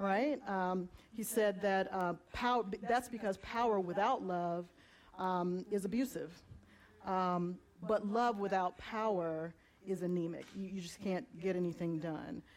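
Speaking in an unremarkable speaking voice with an American accent, a woman uses a medium pitch and ordinary pitch variation at a fairly slow pace. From Southeast Georgia, US. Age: 40s. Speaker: community organizer, justice ministry leader. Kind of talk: panel discussion in church service.

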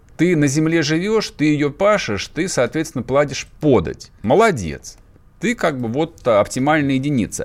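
Fairly slow and fairly high in pitch, a man's voice has an animated tone. His intonation is lively. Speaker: radio host. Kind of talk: casual radio talk show. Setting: studio. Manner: sarcastic, animated.

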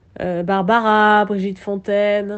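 Speaking at medium pitch, a woman keeps a monotone, flat intonation. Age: 30s. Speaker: jazz singer. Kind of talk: interview. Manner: halting, many hesitations.

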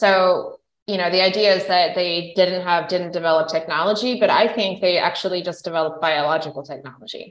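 In an ordinary speaking voice, a woman talks at a fairly quick pace with hardly any pauses, a fairly low pitch, and ordinary pitch variation. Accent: American. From central Idaho, US. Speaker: physician and environmental entrepreneur. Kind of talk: interview. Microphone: unstable internet connection, breakups.

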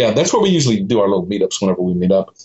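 Here is a man with an American accent at a medium pitch. His intonation is lively. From Austin, Texas. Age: 50s. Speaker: street photographer. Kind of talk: casual interview chat.

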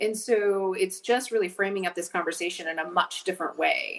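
A woman with a plain, everyday voice, medium in pitch, speaks at a moderate pace in an American accent with fairly even intonation. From Montana, US. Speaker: state outdoor recreation official. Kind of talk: casual interview.

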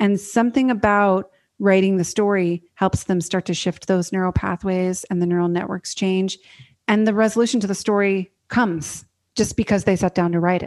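A woman with a General American accent has an unremarkable speaking voice at medium pitch and fairly even intonation. She talks at a moderate pace against a quiet background. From US Northwest (Oregon). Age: 30s. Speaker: author and writing coach. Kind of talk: interview.

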